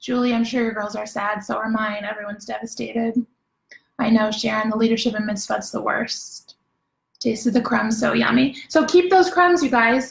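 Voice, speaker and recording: An ordinary speaking voice from a woman, fairly high in pitch, at a moderate pace. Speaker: home baking class host. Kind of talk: casual live-stream chat reading comments.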